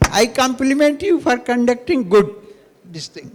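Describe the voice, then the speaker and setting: A man's extremely high-pitched voice, with ordinary pitch variation, comes through noticeable background noise. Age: 80s+. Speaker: audience member asking questions. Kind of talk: audience question.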